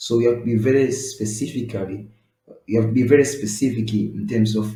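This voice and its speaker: A man speaks with an East African accent in a dark, mellow tone that is somewhat breathy. His intonation is fairly even, and audible room echo surrounds him. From East Africa (Swahili-speaking country). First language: Swahili. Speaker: web design tutor. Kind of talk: tutorial. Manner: halting, many fillers.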